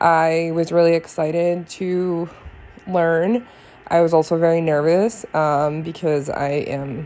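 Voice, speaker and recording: A woman talks at a fairly slow pace with a fairly low pitch. She has an ordinary speaking voice with ordinary pitch variation. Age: 20s. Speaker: podcast host, beauty consultant. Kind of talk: personal monologue. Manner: frequent filler words (um).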